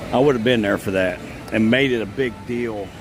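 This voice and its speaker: A man with an American accent speaks at a moderate pace in a fairly low pitch, his intonation fairly even, with music playing in the background. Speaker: theme park vlogger. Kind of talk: live stream walkaround commentary. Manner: casual, with frequent fillers.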